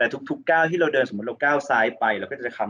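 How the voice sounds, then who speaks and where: A man speaks in a fairly high pitch with a bright, sharp tone. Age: 40s. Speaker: fitness coach. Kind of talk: casual chat.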